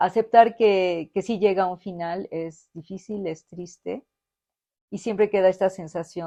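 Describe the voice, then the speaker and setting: A woman's dark, mellow voice at a medium pitch, fairly slow and with fairly even intonation, recorded dry and close with no echo against a quiet background. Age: 70s. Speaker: physics professor. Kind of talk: interview conversation.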